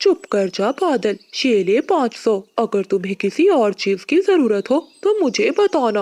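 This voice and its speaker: A cartoonish character voice, fairly high in pitch, with very wide pitch swings at a moderate pace. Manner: warm, generous.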